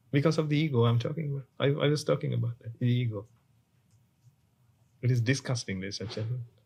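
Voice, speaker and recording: Very fast yet broken by long, frequent pauses, a man's somewhat breathy, medium-pitched voice shows ordinary pitch variation. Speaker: Buddhist monk. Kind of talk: sermon. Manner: halting.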